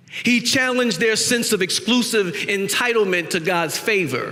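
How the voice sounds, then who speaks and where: A raised, projected voice with an American accent speaks at a moderate pace with ordinary pitch variation, amid noticeable background noise and audible room echo. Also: man. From US South, South Carolina Gullah low country. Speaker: guest preacher. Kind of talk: sermon.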